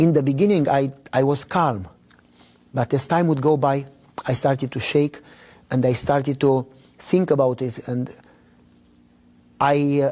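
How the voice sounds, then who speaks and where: A man with a Romanian accent and a dark, mellow tone speaks at a fairly high pitch and moderate pace. His intonation is fairly even, with long, frequent pauses. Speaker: pastor. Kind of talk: testimony.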